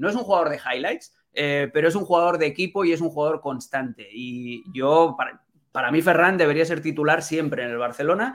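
A man with a plain, everyday voice speaks at a fairly quick pace with hardly any pauses. His pitch is fairly high and his intonation lively. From Catalonia, Spain. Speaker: football journalist. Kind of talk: casual chat.

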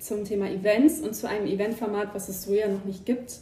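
A woman speaks at a fairly quick pace in a fairly high pitch, with fairly even intonation and noticeable background noise. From rural Germany. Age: 20s. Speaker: co-founder of a second-hand guide account. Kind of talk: casual chat.

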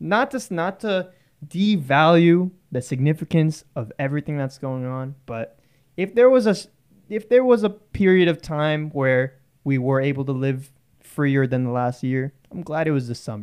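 A man with a plain, everyday voice, fairly high in pitch, lively intonation at a moderate pace. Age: 20s. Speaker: college student podcast host. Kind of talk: casual chat.

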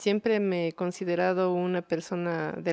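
A woman with a normal speaking voice talks fairly slowly with fairly even intonation, against a quiet background in dry, close sound with no echo. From Ecuador, Quito. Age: 30s. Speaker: visual artist and cultural manager. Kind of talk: interview testimony.

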